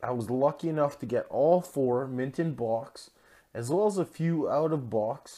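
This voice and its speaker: In a very clean recording with a silent background, a man with a Canadian accent uses an ordinary speaking voice, fairly high in pitch, with ordinary pitch variation and a moderate pace. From Canada. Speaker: toy customizer and collector. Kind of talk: casual video tutorial and showcase.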